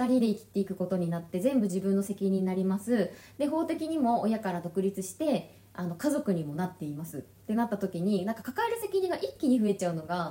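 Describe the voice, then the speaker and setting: Noticeable background noise accompanies a fairly quick delivery full of lively intonation. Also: woman. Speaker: podcast co-host. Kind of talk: casual chat.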